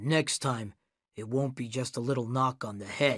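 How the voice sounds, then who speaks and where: A raspy male voice at a medium pitch for a man. He speaks at a moderate pace with fairly even intonation. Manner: menacing.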